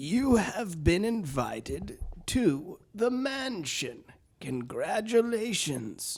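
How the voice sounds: A man uses a put-on character voice, high in pitch. He speaks at a very slow pace.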